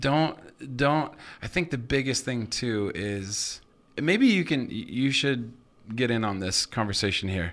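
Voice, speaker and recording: On a very clean recording with a silent background, a man with an unremarkable speaking voice and an American accent talks at a fairly slow pace and medium pitch, with lively intonation. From Idaho, US. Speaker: pastor. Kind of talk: casual chat. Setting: studio.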